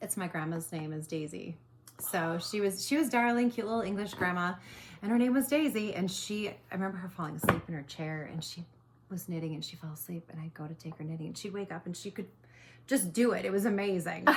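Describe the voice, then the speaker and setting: Talking at a very fast pace with an Upper Midwest accent, a woman shows ordinary pitch variation and big swings in loudness. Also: medium pitch for a woman. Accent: Upper Midwest American. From Minnesota (Mound). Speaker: small business owner making knitting project bags. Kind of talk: casual chat.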